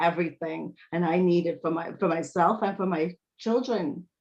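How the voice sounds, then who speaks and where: In a New York accent, a woman speaks at a moderate pace with fairly low pitch. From Brooklyn, New York. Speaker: speech language pathologist and author. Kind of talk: interview answer.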